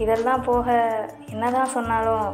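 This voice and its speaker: Over music in the background, a woman speaks at a fairly high pitch. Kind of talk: romantic audio story narration. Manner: hushed, soft-spoken.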